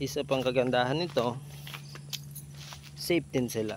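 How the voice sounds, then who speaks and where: With noticeable background noise, a man at medium pitch speaks at a fairly slow pace. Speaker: goat farmer vlogger. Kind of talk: casual vlog. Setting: outdoors on farm. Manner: lowered voice, quiet.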